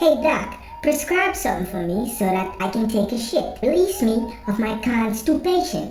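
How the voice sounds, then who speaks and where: A put-on character voice with a fairly high pitch moves at a moderate pace, with clear background noise and a slight echo. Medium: solo performance.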